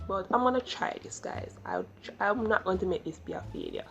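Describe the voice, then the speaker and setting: A woman at a moderate pace, with music in the background. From Jamaica. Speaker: YouTuber. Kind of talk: vlog.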